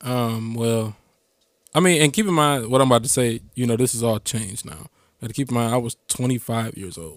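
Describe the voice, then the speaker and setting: In a normal speaking voice, a man talks at a fairly quick pace and medium pitch, with ordinary pitch variation and big swings in loudness. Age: young. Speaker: DJ and podcaster, father. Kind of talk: casual chat.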